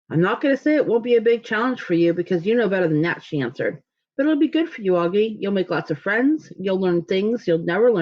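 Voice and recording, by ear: Against a quiet background, someone reads aloud in a natural voice, the intonation lively.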